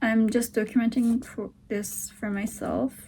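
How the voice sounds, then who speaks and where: A woman speaks with a Turkish accent. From Turkey. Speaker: vlogger, aspiring writer. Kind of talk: casual video diary. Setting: at home, sitting on the floor. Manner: halting.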